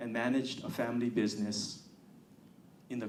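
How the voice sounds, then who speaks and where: A man at a moderate pace, with audible room echo. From Hawaii, Honolulu. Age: 60s. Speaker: political candidate. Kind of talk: campaign speech.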